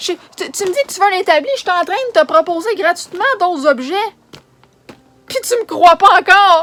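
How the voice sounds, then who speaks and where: With a dry, close sound and no echo, the speaker moves at a moderate pace with lively intonation, big swings in loudness and long, frequent pauses. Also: woman, extremely high pitch for a woman. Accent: Quebec. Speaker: charity organizer vlogger. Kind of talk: emotional rant vlog. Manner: agitated.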